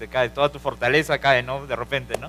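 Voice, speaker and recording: With a Peruvian accent, a man talks at a moderate pace in a bright, sharp tone. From Peru, Lima. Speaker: preacher. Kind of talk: sermon.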